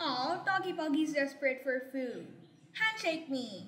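A high, cartoonish character voice at a moderate pace. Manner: pleading, whiny.

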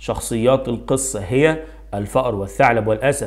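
A man with an Egyptian accent speaks at a moderate pace and medium pitch. His voice shows vocal fry and ordinary pitch variation. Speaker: primary school Arabic teacher. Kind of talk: tutorial. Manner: animated.

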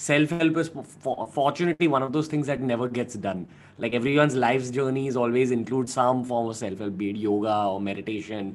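A man's voice at a fairly quick pace, with ordinary pitch variation. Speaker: guest. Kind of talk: interview answer. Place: home room. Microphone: studio mic.

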